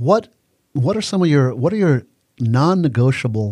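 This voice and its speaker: A man speaks at a very fast pace in a dark, mellow tone that is somewhat breathy. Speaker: podcast host and coach. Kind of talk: casual interview chat.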